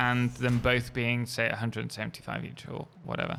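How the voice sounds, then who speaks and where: At a moderate pace, a man speaks at a medium pitch with a bright, sharp tone. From England, East Midlands (Lincoln). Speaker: video game streamer. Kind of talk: live game stream chat and tutorial. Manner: casual, hesitant with fillers.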